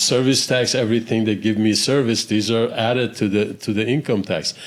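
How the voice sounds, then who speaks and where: A plain, everyday voice: a man at medium pitch, fairly quick, with fairly even intonation and very even loudness. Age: 60s. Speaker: real estate investor. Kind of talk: podcast interview.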